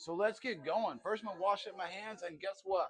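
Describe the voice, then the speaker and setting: A man speaks in a high voice. His tone is animated. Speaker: cooking vlogger. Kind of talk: casual cooking vlog.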